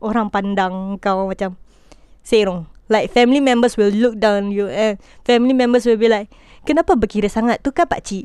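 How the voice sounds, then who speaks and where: With a normal speaking voice, a woman talks at a moderate pace and fairly high pitch, using ordinary pitch variation. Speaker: podcaster. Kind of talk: personal rant. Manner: casual code-switching.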